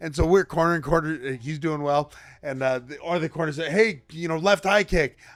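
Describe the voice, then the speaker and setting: A man speaks at a fairly quick pace in an ordinary speaking voice. His pitch is fairly high, with ordinary pitch variation. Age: 30s. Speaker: mixed martial arts fighter. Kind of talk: casual chat.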